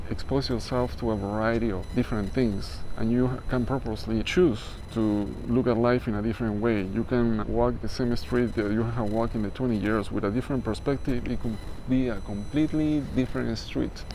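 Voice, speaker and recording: At a fairly quick pace, a man with a non-native accent talks at a medium pitch amid audible room echo. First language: not English. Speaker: spiritual life coach. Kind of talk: motivational talk. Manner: casual, hesitant with fillers.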